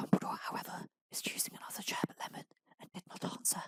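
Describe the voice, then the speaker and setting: Whispering, a man speaks at a very fast pace. The sound is dry and close, with no echo. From Britain. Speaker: ASMR creator. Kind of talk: ASMR audiobook reading. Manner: whispered, softly spoken.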